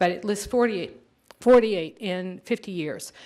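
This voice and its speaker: At a moderate pace, a woman with an ordinary speaking voice, medium pitch, ordinary pitch variation and an American accent talks in a very clean recording with a silent background. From Redondo Beach area, Southern California. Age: 60s. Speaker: resident speaking at public meeting. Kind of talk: public comment testimony. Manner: formal.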